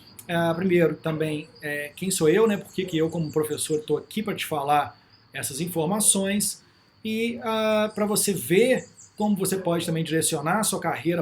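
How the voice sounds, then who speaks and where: A man with a Minas Gerais accent speaks at a fairly slow pace in a high voice, his pitch moving in an ordinary way, with audible echo in the room. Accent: Minas Gerais Brazilian Portuguese. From Brazil, Minas Gerais. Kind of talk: lecture. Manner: casual, with frequent fillers.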